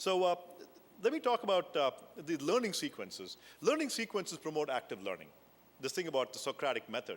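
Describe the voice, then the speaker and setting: At a fairly quick pace, a man speaks with long, frequent pauses. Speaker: professor. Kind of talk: keynote lecture. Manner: fast; animated.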